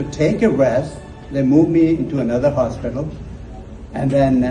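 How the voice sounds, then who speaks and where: Room echo is audible as a man talks at a fairly high pitch. His pitch varies in an ordinary way over noticeable background noise. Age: 60s. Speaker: author and motivational speaker. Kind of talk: personal testimony. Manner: halting, repeats words.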